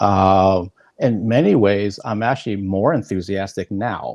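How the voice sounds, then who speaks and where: A man with a fairly low voice and ordinary pitch variation speaks at a fairly slow pace in a plain, everyday voice. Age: 50s. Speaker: interviewer. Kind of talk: interview.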